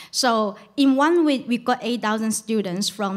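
A woman with a Chinese accent speaks at a fairly slow pace. Her pitch varies in an ordinary way against a quiet background. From China. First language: Mandarin Chinese. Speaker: journalist. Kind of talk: panel discussion. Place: shop. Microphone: handheld.

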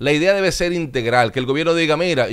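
Against a quiet backdrop, a man's pitch varies in an ordinary way. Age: 30s. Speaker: TV and radio host; radio guest. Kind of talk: interview. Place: studio. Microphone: studio mic.

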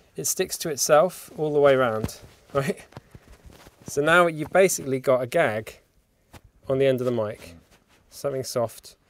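Ordinary pitch variation at a moderate pace, with a dry sound and no echo. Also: man. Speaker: sound technician demonstrating mic rig. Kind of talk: tutorial. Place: hall. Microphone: phone near.

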